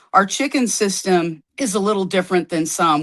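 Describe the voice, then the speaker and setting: A woman with a normal speaking voice at a medium pitch moves at a fairly quick pace with lively intonation. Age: 60s. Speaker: herbalist and homesteader. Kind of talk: podcast interview.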